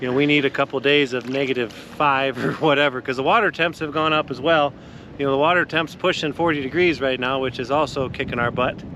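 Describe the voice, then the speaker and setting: A man with an American accent, a fairly high pitch and fairly even intonation at a very fast pace, over noticeable background noise. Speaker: outdoor fishing video host. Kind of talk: casual outdoor report. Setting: outdoors on a frozen lake. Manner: casual, conversational.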